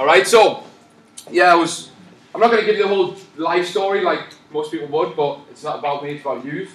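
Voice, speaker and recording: A man's high-pitched, animated voice at a fairly quick pace, with ordinary pitch variation and big swings in loudness, amid audible room echo and noticeable background noise. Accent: Newcastle. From northern England, Newcastle. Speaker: personal trainer. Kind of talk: live presentation. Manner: fast when excited.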